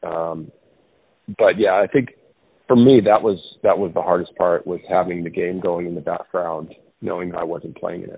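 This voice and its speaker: A man with a very deep, low voice talks at a moderate pace, leaving long, frequent pauses, with big swings in loudness. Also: ordinary pitch variation. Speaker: former baseball player, analyst. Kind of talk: casual interview about baseball.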